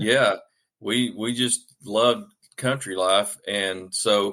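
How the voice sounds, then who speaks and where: The voice has a bright, sharp tone and a Southern US accent. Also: man. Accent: Southern US accent, noticeable. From Arkansas, US South. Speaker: author. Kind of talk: podcast interview. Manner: hesitant, many fillers.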